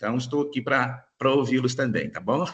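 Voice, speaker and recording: A man at medium pitch and a moderate pace. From Minas Gerais, Brazil. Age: 40s. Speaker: lawyer giving a talk. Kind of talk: lecture. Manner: hesitant, many fillers.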